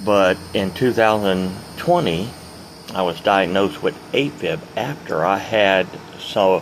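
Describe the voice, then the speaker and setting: A man's fairly low voice at a very slow pace, with ordinary pitch variation and noticeable background noise. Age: 60s. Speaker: retired truck driver, vlogger. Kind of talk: casual vlog monologue. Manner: rambling, unscripted with hesitations.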